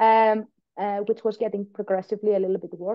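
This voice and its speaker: This is a woman with a Greek accent. Her pitch is medium. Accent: Greek, noticeable. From Greece. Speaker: patient and biomedical scientist. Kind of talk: podcast interview.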